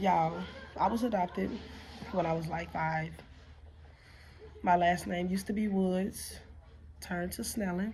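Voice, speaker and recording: The speech has long, frequent pauses and a fairly even intonation. Room echo is audible throughout. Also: woman, fairly low pitch for a woman, moderate pace. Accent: American. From Chicago, US Midwest. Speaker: vlogger and nursing assistant. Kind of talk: casual vlog monologue.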